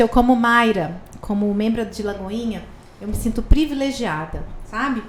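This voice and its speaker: A woman's fairly high voice at a fairly slow pace, with noticeable background noise. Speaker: podcast host. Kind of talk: podcast interview. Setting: studio. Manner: deliberately slow, measured pace.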